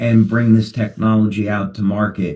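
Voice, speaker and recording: A man with a New Jersey accent speaks fairly slowly at a medium pitch, his tone dark and mellow. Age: 60s. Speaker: company founder. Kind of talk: webinar talk.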